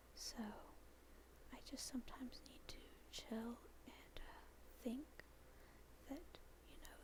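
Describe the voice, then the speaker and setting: Whispering in a gentle tone over noticeable background noise. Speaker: university student. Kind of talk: soft-spoken ASMR talk while drawing. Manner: soft-spoken, gentle.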